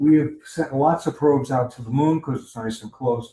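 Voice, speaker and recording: A somewhat breathy, dark and mellow tone with ordinary pitch variation. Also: man. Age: 70s. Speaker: astronomy club presenter. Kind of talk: lecture. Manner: conversational, with fillers.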